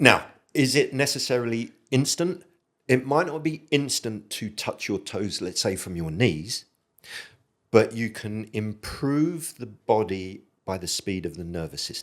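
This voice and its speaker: A man's medium-pitched voice at a fairly slow pace, with very wide pitch swings and big swings in loudness, in a very clean recording with a silent background. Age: 60s. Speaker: military veteran and movement coach. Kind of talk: podcast interview.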